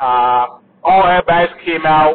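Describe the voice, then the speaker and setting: A man speaks with ordinary pitch variation. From Africa. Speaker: podcaster. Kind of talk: casual solo monologue, unscripted. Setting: in a car while driving. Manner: casual, conversational.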